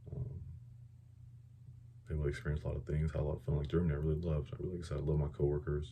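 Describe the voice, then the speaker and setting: A man talks at a very fast pace in a very deep, low pitch, with a dark, mellow tone and vocal fry. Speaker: air force veteran. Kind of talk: casual talk to camera.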